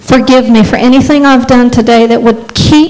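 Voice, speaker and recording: Fairly high-pitched woman's voice with a warm tone and fairly even intonation. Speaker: preacher. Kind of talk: guided prayer in a sermon. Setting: church with congregation. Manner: earnest, fervent, exhorting; warm, lightly humorous. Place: church. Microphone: handheld.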